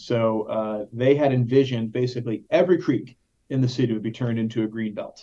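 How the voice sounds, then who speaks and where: Talking at a very fast pace, a man with an American accent has a dark, mellow tone and ordinary pitch variation. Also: medium pitch for a man. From Texas, Dallas. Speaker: parks conservation nonprofit director. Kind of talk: interview conversation. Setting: video call.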